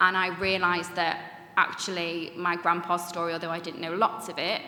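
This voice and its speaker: Amid noticeable background noise and audible room echo, a woman speaks at a very fast pace with a fairly low pitch and monotone, flat intonation. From Manchester, northern England. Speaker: Holocaust educator, third generation speaker. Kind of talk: panel discussion talk. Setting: conference room with audience.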